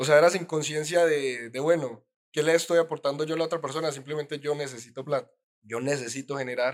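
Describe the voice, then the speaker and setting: Here is a man with an unremarkable speaking voice. His pitch is fairly high and his intonation fairly even. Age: 20s. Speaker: entrepreneur. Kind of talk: casual interview.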